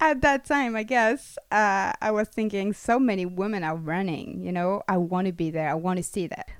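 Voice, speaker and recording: Speaking with a French accent at a moderate pace, a woman uses a medium pitch and ordinary pitch variation, recorded with a dry, close sound and no echo. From France. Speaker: freelance journalist. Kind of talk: interview.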